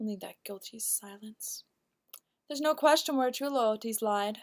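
In a quiet background, a woman speaks with ordinary pitch variation. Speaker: actor performing a monologue. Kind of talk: acted dramatic monologue. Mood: cool, pointed, insinuating. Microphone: webcam.

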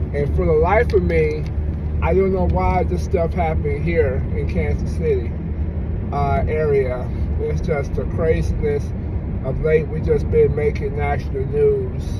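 A man speaking at a fairly slow pace amid loud background noise. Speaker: vlogger. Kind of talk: casual vlog commentary. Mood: relaxed but opinionated. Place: car. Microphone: phone near.

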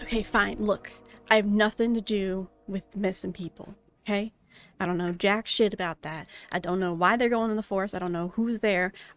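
A put-on character voice rumbles at a fairly high pitch. It moves at a moderate pace with music in the background. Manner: gruff, defensive, nervous; grudging, crumbling under pressure.

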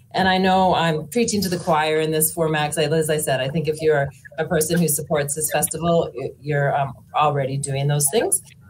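Over light background noise, a woman with a Canadian Prairie accent speaks at a moderate pace in a very deep, low pitch, somewhat breathy, with fairly even intonation. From Saskatchewan, Canada (Moose Jaw); Saskatchewan. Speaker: panel moderator, author; panel moderator. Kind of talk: moderated panel introductions. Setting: festival stage with audience. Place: home room.

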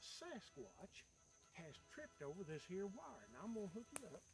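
A high-pitched man at a moderate pace, dry sound with no echo, clear music in the background. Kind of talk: tutorial. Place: forest. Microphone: camera far.

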